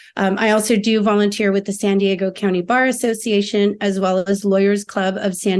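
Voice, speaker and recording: A plain, everyday voice with an American accent. It moves at a moderate pace with fairly even intonation. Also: woman. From Filipino American. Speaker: lawyer. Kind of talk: interview.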